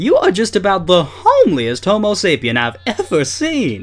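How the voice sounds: A man puts on a character voice, pitched high and delivered at a moderate pace.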